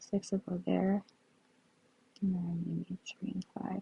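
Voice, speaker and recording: Here is a woman with a dark, mellow tone at a medium pitch. Her voice is somewhat breathy. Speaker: sudoku puzzle solver. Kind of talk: tutorial. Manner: slower than usual.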